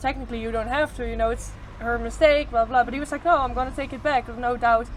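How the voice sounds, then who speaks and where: A woman with a Dutch accent talks at a fairly quick pace amid audible room echo. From Netherlands. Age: 20s. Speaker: traveller. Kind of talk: casual interview.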